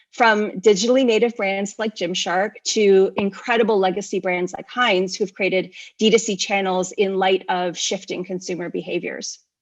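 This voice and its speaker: Against a quiet background, a woman with a Canadian accent and a plain, everyday voice talks at a moderate pace in a medium pitch, with fairly even intonation and hardly any pauses. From Canada. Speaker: e-commerce company speaker. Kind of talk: conference presentation. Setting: virtual conference.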